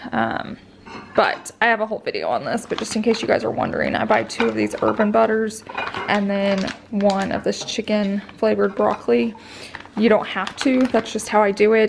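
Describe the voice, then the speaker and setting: Fairly quick female speech with noticeable noise behind it. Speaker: vlogger, stay-at-home mom. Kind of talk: casual vlog chat.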